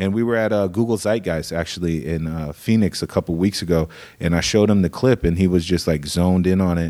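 At a very fast pace and with hardly any pauses, a man with an American accent speaks in a very deep, low pitch and a dark, mellow tone, with ordinary pitch variation, on a very clean recording with a silent background. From Iowa, US Midwest (Des Moines). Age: 30s. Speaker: creative director at a marketing agency. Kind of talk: casual interview.

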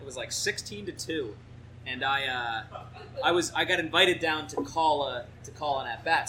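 Someone with an American accent speaks at a moderate pace with ordinary pitch variation. Background noise is noticeable. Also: man. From New Jersey. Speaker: baseball reporter. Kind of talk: casual interview. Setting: live audience at a brewery.

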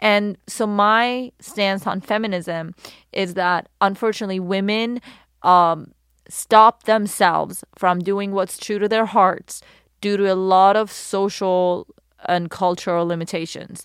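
Speaking at a fairly slow pace with a Persian accent, a woman keeps her intonation fairly even at a medium pitch, in a very clean recording with a silent background. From Iran. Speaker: model and activist. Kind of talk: casual interview chat.

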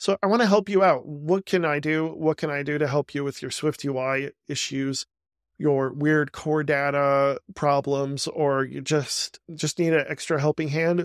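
Dry and close with no echo, a man speaks in an unremarkable speaking voice at a fairly high pitch. His intonation is fairly even and his pace fairly slow. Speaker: podcast host. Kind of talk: casual interview chat.

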